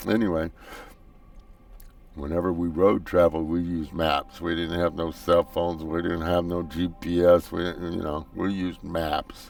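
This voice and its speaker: Over music in the background, the speaker talks at a moderate pace with an American accent and a monotone, flat intonation. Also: man, very deep, low pitch for a man. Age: 60s. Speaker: gaming YouTuber. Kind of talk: gameplay commentary. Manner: casual, halting.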